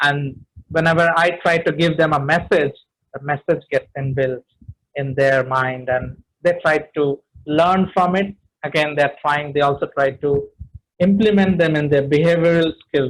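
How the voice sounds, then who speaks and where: A man's voice, somewhat breathy and fairly high in pitch, keeps a fairly even intonation. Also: moderate pace. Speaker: public speaking trainer. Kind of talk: webinar talk.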